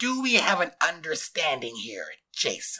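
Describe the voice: Doing a put-on character voice, a man talks at a fairly slow pace in a fairly high, bright, sharp tone with very wide pitch swings.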